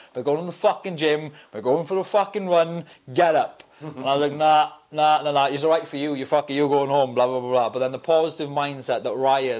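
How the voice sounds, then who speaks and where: A man's pitch varies in an ordinary way as he talks fairly quickly against a quiet background. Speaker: podcast guest. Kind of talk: interview answer. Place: studio. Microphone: lapel.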